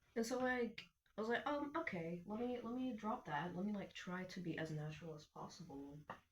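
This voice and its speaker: Somewhat breathy, a woman at a medium pitch speaks at a fairly quick pace with very wide pitch swings. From Iraq. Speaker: vlogger. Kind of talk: casual rant to camera. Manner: rambling, many fillers.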